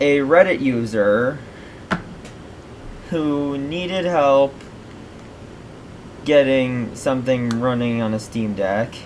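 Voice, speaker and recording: Noticeable background noise and audible room echo accompany a man with a fairly high pitch and ordinary pitch variation. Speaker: tech YouTuber. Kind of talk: unscripted screen-recorded tutorial. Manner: stammers quite a bit; casual, meandering.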